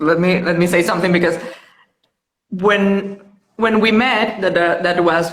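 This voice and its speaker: In a Venezuelan accent, a woman speaks at medium pitch with ordinary pitch variation and very even loudness, with audible room echo. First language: Spanish. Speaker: mother. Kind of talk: casual chat.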